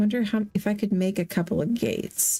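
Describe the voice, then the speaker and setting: A woman talks in a plain, everyday voice at a medium pitch. Her pace is fairly slow, with ordinary pitch variation. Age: 40s. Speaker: gaming streamer. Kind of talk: casual live-stream chat while gaming.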